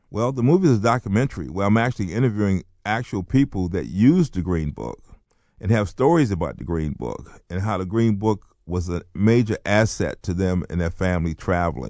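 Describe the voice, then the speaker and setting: With an American accent, a man speaks at a fairly quick pace in a dark, mellow tone, fairly low in pitch with lively intonation. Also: quiet background. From US South, North Carolina. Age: 60s. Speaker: author and playwright. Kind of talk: interview.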